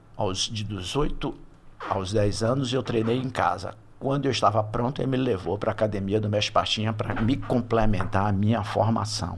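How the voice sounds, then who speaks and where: Mostly level intonation, a medium tempo, and clearly audible background noise. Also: man, fairly low pitch for a man. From Salvador, Bahia, Brazil. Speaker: retired HR executive and business advisor. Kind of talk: podcast interview.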